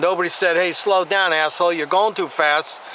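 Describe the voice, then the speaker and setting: Over noticeable background noise, a man with a high-pitched voice speaks at a moderate pace with ordinary pitch variation. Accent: American. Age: 60s. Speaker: YouTube commentator. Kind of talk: vlog commentary. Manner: casual, halting with fillers.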